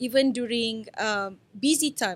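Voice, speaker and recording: Loud, high-pitched woman's voice with ordinary pitch variation. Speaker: entrepreneur. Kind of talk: podcast interview. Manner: casual, filler-heavy.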